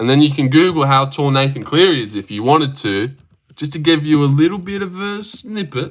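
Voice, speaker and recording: A man with an Australian accent talks at a fairly quick pace. His pitch is fairly high and his intonation lively. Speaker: livestreamer reading chat, MMA fan. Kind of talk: casual livestream chat. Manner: casual, rambling.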